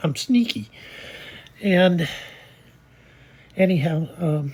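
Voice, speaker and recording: A woman speaks in a somewhat breathy voice, her pitch swinging very widely. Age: 70s. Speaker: personal vlogger sharing life story. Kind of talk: personal testimony monologue. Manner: casual, hesitant with fillers.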